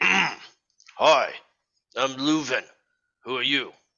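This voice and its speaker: A man speaks in a put-on character voice with a fairly high pitch. His tone is raspy. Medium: actual play. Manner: chatty, gossipy.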